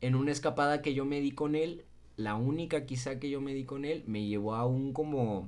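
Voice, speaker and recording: In a room with audible echo, a man with a fairly high pitch talks at a moderate pace with ordinary pitch variation. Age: 20s. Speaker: podcast co-host. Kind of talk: casual chat.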